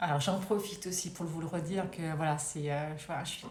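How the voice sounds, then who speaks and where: A woman speaks with fairly even intonation. Audible room echo and noticeable background noise fill the recording. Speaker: wellbeing coach. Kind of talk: live stream talk. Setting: live video stream.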